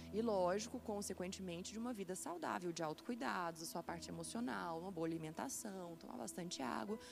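Music plays behind a woman who talks at a fairly quick pace. She hardly pauses at all. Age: 20s. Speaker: psychiatry resident doctor. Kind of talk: interview.

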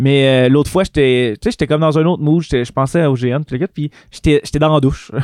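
This man has a fairly high pitch and a Quebec accent. His pitch varies in an ordinary way, and his loudness stays very even. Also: moderate pace. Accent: Québécois French. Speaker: nurse and game master. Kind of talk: casual chat.

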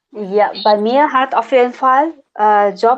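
A woman's fairly high-pitched voice. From Nepal. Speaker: international student. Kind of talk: casual interview. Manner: halting, many fillers.

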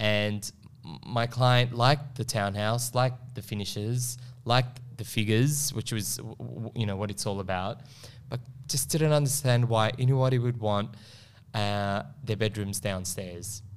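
Speaking with an Australian accent, a man keeps a medium pitch. His pace is fairly slow, with ordinary pitch variation. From Melbourne, Australia (Northcote). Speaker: property investment advisor. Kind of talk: casual chat. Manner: halting, many repetitions.

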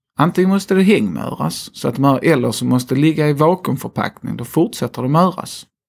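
The voice has a Scanian accent and moves at a fairly quick pace. There are hardly any pauses. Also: man, fairly high pitch for a man, lively intonation. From Skåne, southern Sweden. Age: 30s. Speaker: slaughterhouse company executive. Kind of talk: interview. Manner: hesitant, many fillers.

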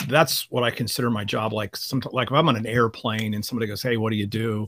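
A man talks at a very fast pace. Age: 50s. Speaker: seminary professor of biblical studies. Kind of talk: interview conversation.

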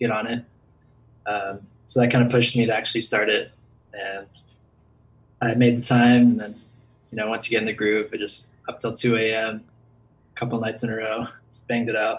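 A man speaks at a fairly quick pace yet with long, frequent pauses, his somewhat breathy voice flat and monotone while its loudness swings widely. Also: medium pitch for a man. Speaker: contest finalist.

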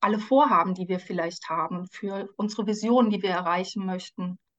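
A woman speaks at a medium pitch. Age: 40s. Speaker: life coach and social worker. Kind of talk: podcast interview. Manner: frequent hesitations (ähm).

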